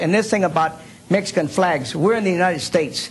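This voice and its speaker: High-pitched and animated, a man talks with ordinary pitch variation. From California Central Valley. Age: 60s. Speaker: Vietnam veteran, debate guest. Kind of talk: TV debate.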